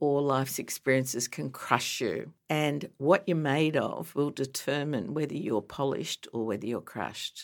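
A woman with an Australian accent speaks at a moderate pace with hardly any pauses, her pitch very deep and low, with ordinary pitch variation and vocal fry. The recording is very clean, with a silent background. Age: 60s. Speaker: breast cancer advocate. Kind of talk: interview. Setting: studio.

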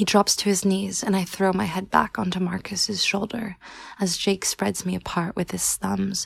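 Reading is done in a natural voice. That voice is the only one heard.

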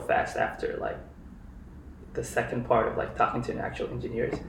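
A man speaks at a moderate pace. Audible echo fills the room. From Kenya. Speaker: software engineer. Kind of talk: casual interview.

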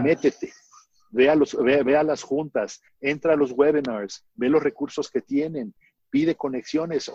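Dark and mellow in tone, this man's fairly high voice is recorded dry and close with no echo. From Mexico. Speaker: marketing agency founder. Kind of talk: interview. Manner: animated.

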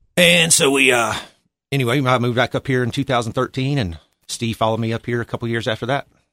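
A man's very fast speech, with a bright, sharp tone and ordinary pitch variation, dry and close with no echo. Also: medium pitch for a man. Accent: Appalachian. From Boone, North Carolina. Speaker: restaurant owner, navy veteran. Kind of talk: interview.

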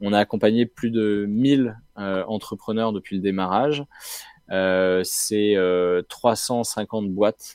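A man speaks very slowly in a fairly low voice with fairly even intonation. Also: dry, close sound with no echo. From Brittany, France (Rennes). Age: 30s. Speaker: social entrepreneur, co-founder of a refugee incubator. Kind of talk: interview.

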